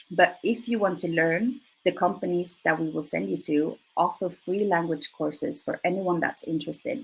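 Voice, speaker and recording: A woman with a Swedish accent, fairly low in pitch, ordinary pitch variation and hardly any pauses. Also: moderate pace. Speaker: recruiter. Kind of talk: presentation. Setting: live online presentation.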